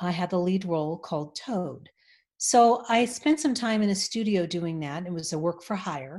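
A woman speaks with a Californian accent at a moderate pace. Her medium pitch shows ordinary variation over a quiet background. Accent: General American (California). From Los Angeles. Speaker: voice actor and voice coach. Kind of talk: interview conversation.

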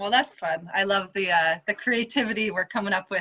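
This woman speaks at a fairly quick pace with medium pitch and ordinary pitch variation. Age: 30s. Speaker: podcast host. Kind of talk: casual chat. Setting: video call. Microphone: choppy connection, voice fluttering.

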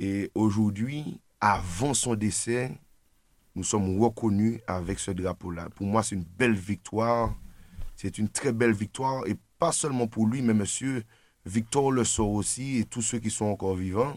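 At a fairly slow pace, a man with an unremarkable speaking voice talks at fairly low pitch with ordinary pitch variation, on a very clean recording with a silent background. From Martinique. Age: 20s. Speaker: political activist. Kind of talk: radio discussion. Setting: studio.

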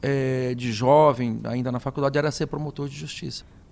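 A man talking at a fairly quick pace. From interior of São Paulo state, Brazil. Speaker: state prosecutor-general. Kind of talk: radio interview. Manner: halting, many fillers and repetitions.

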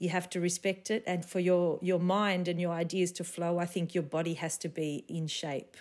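A woman's fairly low voice with an Australian accent, moderate pace and monotone, flat intonation, in a very clean recording with a silent background. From Sydney, Australia (eastern suburbs). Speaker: flamenco dancer and choreographer. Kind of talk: casual interview.

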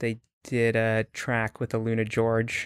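A man speaks with a Canadian accent on a very clean recording with a silent background. The sound is dry and close, with no echo. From Canada. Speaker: startup CEO. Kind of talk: interview. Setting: studio.

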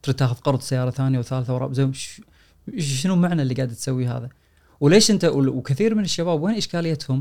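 With a fairly high pitch and lively intonation, a man speaks in a normal speaking voice. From Kuwait. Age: 40s. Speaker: personal finance author and lecturer. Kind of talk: casual chat.

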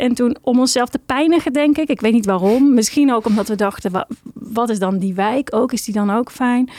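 A woman with a fairly high voice and a slightly mellow tone speaks at a fairly quick pace, her pitch varying normally, in a dry, close sound with no echo.

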